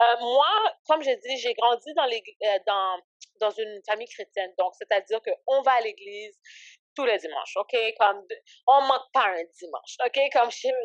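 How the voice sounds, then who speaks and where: An unremarkable speaking voice at a moderate pace. The sound is dry and close, with no echo. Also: woman, fairly high pitch for a woman, ordinary pitch variation. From Canada, raised from age 7 (born in Haiti). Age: 20s. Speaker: ministry founder and entrepreneur. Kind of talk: podcast interview. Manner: casual, filler-heavy speech.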